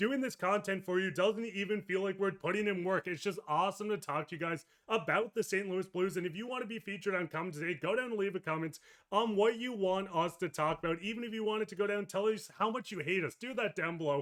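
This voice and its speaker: He talks at a very fast pace with hardly any pauses. This man's voice is loud and high-pitched, with ordinary pitch variation. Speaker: sports podcast host. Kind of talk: casual sports talk.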